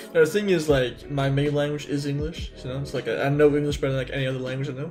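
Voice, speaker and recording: Music plays in the background as a man with a fairly high pitch speaks at a very fast pace with fairly even intonation, and audible room echo surrounds him. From English-speaking upbringing, Lebanese family. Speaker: game programmer streaming. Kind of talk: casual chat while coding on stream. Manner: fast, repetitive filler words.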